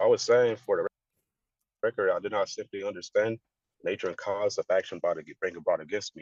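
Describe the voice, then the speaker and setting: A man puts on a character voice and mumbles. He moves at a fairly quick pace but leaves long, frequent pauses. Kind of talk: legalistic, sovereign-citizen phrasing. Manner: mumbling and fast.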